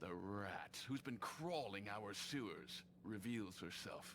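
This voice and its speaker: A put-on, growling character voice speaks at a fairly slow pace with lively intonation over clear background noise. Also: man, fairly low pitch for a man. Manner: snarling, menacing.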